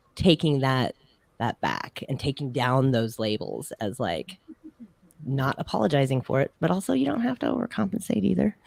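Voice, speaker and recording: Her voice very deep and low with vocal fry, a woman talks at a moderate pace with lively intonation, in a dry, close recording with no echo. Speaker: music show co-host. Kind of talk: casual panel chat. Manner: loud; animated.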